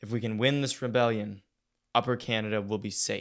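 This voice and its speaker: A man's rumbling put-on character voice at a medium pitch, monotone and flat, at a fairly quick pace. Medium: read story. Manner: terse, restrained.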